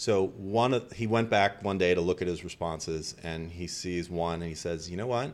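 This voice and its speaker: A man's very deep, low voice at a moderate pace, with ordinary pitch variation and hardly any pauses. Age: 50s. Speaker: marketing consultant. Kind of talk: casual chat.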